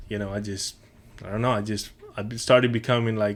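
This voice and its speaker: A man speaks in a monotone, flat intonation with a Spanish accent. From Mexico, moved to Houston at 13. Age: 30s. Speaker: podcast guest, chef and coffee business owner. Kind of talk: casual interview chat.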